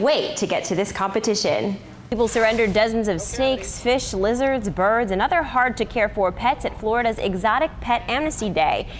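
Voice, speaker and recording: Over noticeable background noise, a woman with a fairly high voice speaks at a fairly quick pace with lively intonation. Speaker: news anchor and reporter. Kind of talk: TV news read. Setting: studio.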